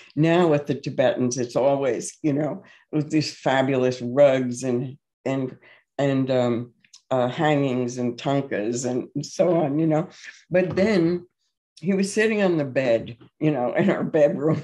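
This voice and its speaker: The voice has a dark, mellow tone, ordinary pitch variation and a fairly slow pace. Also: woman, very deep, low pitch for a woman. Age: 80s+. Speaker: meditation teacher. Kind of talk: interview Q&A. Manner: halting, many fillers.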